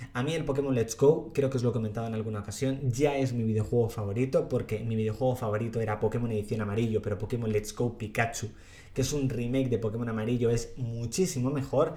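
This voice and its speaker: A man talks very fast with hardly any pauses and fairly even intonation. Noticeable background noise is present. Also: medium pitch for a man. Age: 30s. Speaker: youtuber podcast host. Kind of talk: solo podcast monologue.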